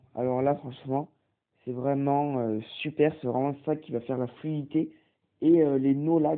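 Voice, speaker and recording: At a moderate pace, a man talks in a monotone, flat intonation with a fairly high pitch. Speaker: tech tutorial youtuber. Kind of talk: tutorial. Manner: hesitant, many fillers.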